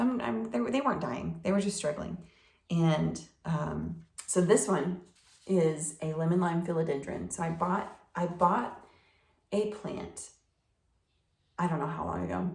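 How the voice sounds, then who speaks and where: A woman speaks at a fairly slow pace with a fairly low pitch, lively intonation and vocal fry, leaving long, frequent pauses amid audible room echo. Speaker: plant hobbyist vlogger. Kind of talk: casual talk-to-camera tutorial. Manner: hesitant with fillers.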